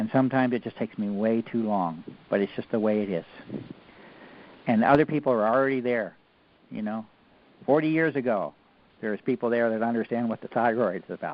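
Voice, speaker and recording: A medium-pitched man at a fairly quick pace, with long, frequent pauses and ordinary pitch variation. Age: 60s. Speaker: researcher. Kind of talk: lecture. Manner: animated.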